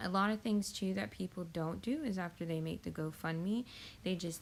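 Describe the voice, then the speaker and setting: A plain, everyday voice with lively intonation moves at a moderate pace in a very clean recording with a silent background. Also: woman. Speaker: YouTube tutorial creator. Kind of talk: tutorial.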